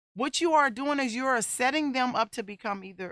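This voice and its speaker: A loud voice with a bright, sharp tone and a dry, close sound with no echo, on a very clean recording with a silent background. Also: woman. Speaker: talk show host and domestic violence survivor. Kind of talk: personal testimony and advice monologue. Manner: voice rises when excited.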